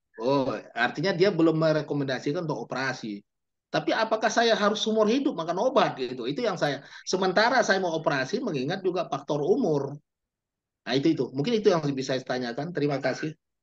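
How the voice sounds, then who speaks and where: Racing at a very fast pace, a man with a fairly high pitch makes very wide pitch swings. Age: 60s. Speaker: employee audience member asking a question. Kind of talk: question in Q&A.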